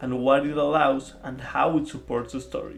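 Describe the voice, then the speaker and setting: A man with a non-native accent at a moderate pace, against noticeable background noise. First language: not English. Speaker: film video essayist. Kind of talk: video essay commentary. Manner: hesitant with filler words.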